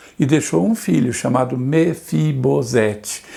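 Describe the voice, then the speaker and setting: Amid noticeable background noise, a man of medium pitch speaks at a fairly slow pace. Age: 70s. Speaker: pastor. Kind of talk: sermon.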